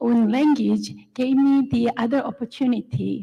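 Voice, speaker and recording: A woman with a Korean accent speaks at a fairly slow pace. Her voice is fairly high-pitched, with a dark, mellow tone. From South Korea. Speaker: fiber artist and art professor. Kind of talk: panel discussion.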